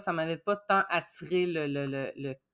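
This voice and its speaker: A woman's bright, sharp tone at a fairly slow pace, in a very clean recording with a silent background. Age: 30s. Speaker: dispatch assistant. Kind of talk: casual interview.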